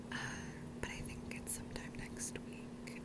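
Someone whispers at a moderate pace. Noticeable background noise runs behind it. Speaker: ASMR creator. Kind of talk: ASMR whispered ramble. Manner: whispered.

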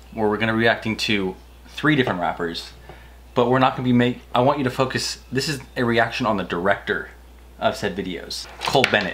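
A man talking at a very fast pace, ordinary pitch variation, light background noise. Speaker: video host. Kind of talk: casual vlog chat. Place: studio.

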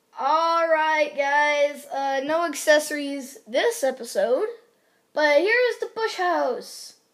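Her voice is high-pitched, with very wide pitch swings. The woman speaks at a very slow pace. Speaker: gaming YouTuber. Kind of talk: casual gameplay commentary. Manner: rambling, filler-heavy.

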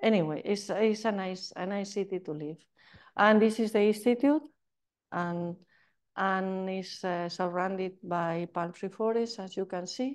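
Fairly slow speech against a quiet background. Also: woman, medium pitch for a woman, ordinary pitch variation. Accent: Spanish. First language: Spanish. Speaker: chemistry professor. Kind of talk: lecture. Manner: halting.

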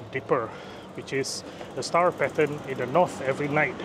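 The man speaks at a moderate pace in a dry sound with no echo, though noticeable background noise is present. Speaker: travel vlogger. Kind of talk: casual vlog explanation. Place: street. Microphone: phone near.

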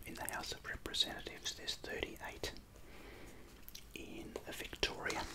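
Someone whispers quietly at a fairly slow pace. Loud noise fills the background. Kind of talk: tutorial. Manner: quiet ASMR whisper while drawing.

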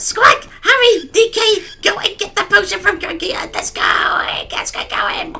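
Someone uses a put-on character voice at an extremely high pitch, keeping a moderate pace.

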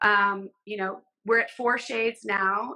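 A woman talks with a bright, sharp tone. Her intonation stays fairly even against a quiet background. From Southern California. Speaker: fashion and beauty photographer; interview guest. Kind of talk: casual interview chat. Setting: video call from home. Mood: earnest, moved. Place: home room. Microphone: video call.

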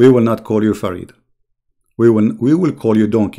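Dark and mellow in tone, the voice moves at a fairly quick pace on a very clean recording with a silent background. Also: man. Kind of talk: polemical video commentary. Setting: home recording with screen share. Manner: halting with fillers; heated, insulting tone.

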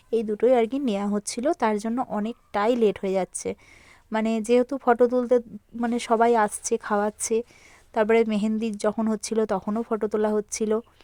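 A woman with a fairly high pitch talks in a flat monotone with a dark, mellow tone, the sound dry and close with no echo on a very clean recording over a silent background. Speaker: lifestyle vlogger. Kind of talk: vlog voiceover narration.

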